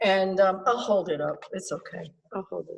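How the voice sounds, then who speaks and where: This woman, using an ordinary speaking voice, keeps a medium pitch, ordinary pitch variation, and a moderate pace. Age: 60s. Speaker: artist. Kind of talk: artist talk. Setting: video call. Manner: casual, many fillers.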